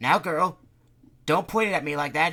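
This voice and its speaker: A man uses a put-on character voice at a fairly high pitch. His voice is raised and projected, at a moderate pace. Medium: read story. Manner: excitable, flustered.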